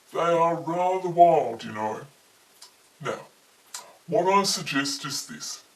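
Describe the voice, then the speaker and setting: A woman uses a put-on character voice at a fairly slow pace, with long, frequent pauses. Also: fairly low pitch for a woman. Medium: read story. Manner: polite, earnest, formal.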